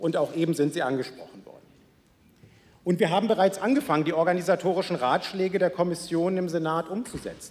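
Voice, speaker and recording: Fairly quick in pace, a man's high-pitched voice carries ordinary pitch variation. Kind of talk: parliamentary speech. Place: hall. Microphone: podium.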